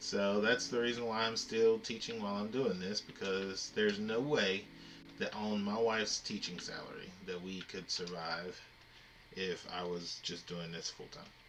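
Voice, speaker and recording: Music plays in the background. The speech comes at a fairly slow pace with long, frequent pauses. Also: man. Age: adult. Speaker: gaming livestreamer and teacher. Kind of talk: casual livestream chat. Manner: hesitant, many fillers.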